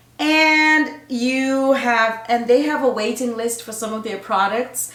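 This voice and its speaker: Over noticeable background noise and audible room echo, a woman with a fairly high pitch speaks at a fairly slow pace, her animated tone carrying ordinary pitch variation. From Zimbabwe. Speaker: nurse and women's health coach. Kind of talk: casual vlog talk to camera. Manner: animated, chatty.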